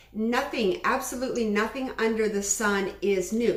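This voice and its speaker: A fairly high-pitched woman with lively intonation, amid audible room echo and noticeable background noise. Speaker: webinar instructor. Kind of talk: online class. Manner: fast.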